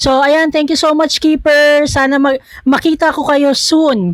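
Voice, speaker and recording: A woman talks at a fairly slow pace. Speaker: reaction video creator. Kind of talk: reaction video commentary. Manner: stumbling over words.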